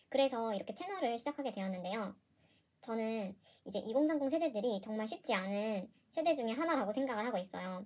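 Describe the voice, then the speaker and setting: A woman's fairly high, somewhat breathy voice races at a very fast pace with lively intonation. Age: 20s. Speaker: personal finance youtuber, office worker. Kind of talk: casual vlog monologue. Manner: hesitant, with fillers and self-corrections.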